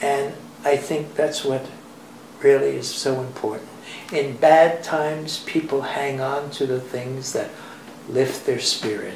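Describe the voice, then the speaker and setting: At a fairly slow pace with long, frequent pauses, a man speaks in a monotone, flat intonation at a fairly high pitch, with audible room echo and noticeable background noise. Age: 80s+. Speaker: dancer and dance teacher. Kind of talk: interview. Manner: halting.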